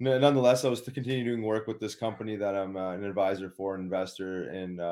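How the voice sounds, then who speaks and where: A man with a Canadian prairie accent speaks at a fairly quick pace in a fairly low pitch, his dark, mellow tone and fairly even intonation captured in a very clean recording with a silent background. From Winnipeg, Manitoba, Canada. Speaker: former pro hockey player, wellness advocate. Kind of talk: casual interview chat.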